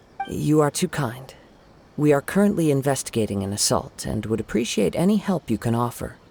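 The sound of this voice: A man puts on a character voice with a medium pitch and big pitch swings, speaking at a fairly quick pace with a slightly mellow tone, a slightly husky edge, and vocal fry.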